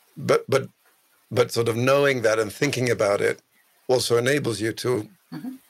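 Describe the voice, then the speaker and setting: A man speaks with a Swedish accent and ordinary pitch variation. He leaves long, frequent pauses. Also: medium pitch for a man, moderate pace. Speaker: podcast co-host. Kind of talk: podcast interview. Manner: halting, repeats words.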